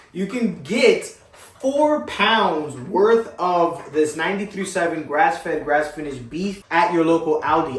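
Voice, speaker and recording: In an animated tone with an American accent, a man with a high pitch talks at a fairly slow pace, with ordinary pitch variation and hardly any pauses, amid audible room echo and noticeable background noise. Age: 20s. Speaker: fitness vlogger. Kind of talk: casual vlog talk to camera.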